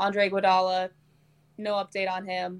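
With an American accent, a woman talks at a moderate pace and a medium pitch. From Nebraska. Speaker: sports journalist. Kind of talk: casual chat. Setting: hotel room, video call.

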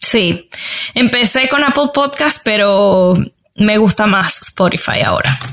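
Lively intonation marks this woman's fairly high voice. She speaks very slowly at a very even loudness. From Venezuela, Valencia. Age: 30s. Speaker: podcast reviewer and digital marketer. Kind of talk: interview conversation.

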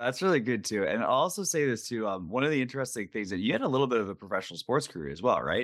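With vocal fry and very wide pitch swings around a medium pitch, a man talks at a very fast pace with hardly any pauses. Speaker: podcast host. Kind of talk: interview conversation.

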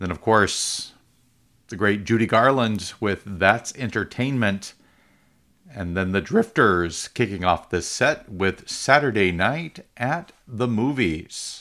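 On a very clean recording with a silent background, the voice moves at a very slow pace with an upbeat tone and lively intonation. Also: man, fairly low pitch for a man. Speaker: radio host. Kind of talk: radio DJ patter introducing and back-announcing music tracks, relaxed and friendly. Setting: radio studio broadcast. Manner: chatty, upbeat, casual with some filler words.

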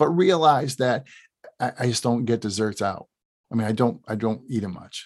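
A man speaks at a moderate pace with a medium pitch. His pitch variation is ordinary. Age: 50s. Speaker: chiropractor and podcast host. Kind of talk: solo podcast talk. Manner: animated.

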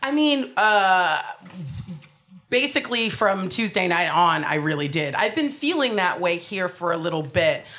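Room echo is audible as a woman with an American accent speaks at a fairly slow pace, her pitch swinging very widely. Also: medium pitch for a woman. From United States. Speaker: comedian. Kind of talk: panel discussion before live audience. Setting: stage with audience.

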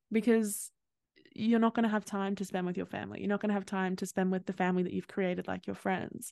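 Over a quiet background, a woman with an Australian accent speaks at a medium pitch in a monotone with flat intonation, the sound dry and close with no echo. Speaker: podcast host, psychology graduate. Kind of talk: casual interview chat.

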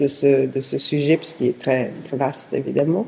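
Over noticeable background noise, a woman with an Italian accent speaks at a fairly slow pace. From southern Italy (Apulia). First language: Italian (speaking French). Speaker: historian and researcher. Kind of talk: interview. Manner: halting.

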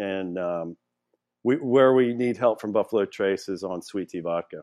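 At a moderate pace, a man with an American accent speaks in a fairly low voice with ordinary pitch variation. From Louisiana. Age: 50s. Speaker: distillery founder. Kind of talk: casual interview.

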